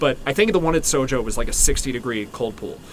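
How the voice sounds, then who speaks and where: Noticeable background noise and audible room echo both accompany a man as he speaks. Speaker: podcast co-host. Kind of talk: casual chat. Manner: fast.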